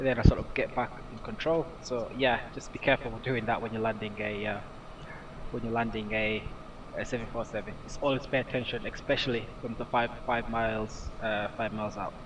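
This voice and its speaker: Amid noticeable background noise, a man speaks at a fairly quick pace in a medium pitch with monotone, flat intonation. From Britain. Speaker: gaming streamer. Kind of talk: live stream commentary. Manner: halting, many fillers; casual, relaxed.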